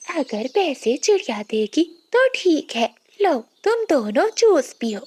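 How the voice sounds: A woman puts on a cartoonish character voice, pitched high and swinging very widely, at a fairly slow pace. The sound is dry and close, with no echo.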